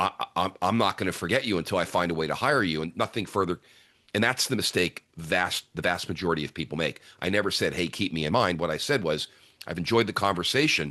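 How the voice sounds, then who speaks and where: Talking at a very fast pace, a man with a very deep, low pitch and a bright, sharp tone uses ordinary pitch variation. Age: 60s. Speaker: author and keynote speaker. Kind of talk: podcast interview. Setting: podcast.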